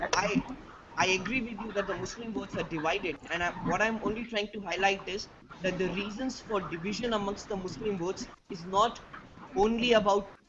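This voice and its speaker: A man speaks in a high pitch at a fairly quick pace, with fairly even intonation. Noticeable background noise is present. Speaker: discussion participant. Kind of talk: online panel discussion. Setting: video call. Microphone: quiet audio.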